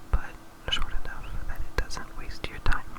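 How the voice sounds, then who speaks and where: A man whispering over noticeable background noise. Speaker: ASMR gaming commentator. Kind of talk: ASMR gameplay commentary. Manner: soft-spoken.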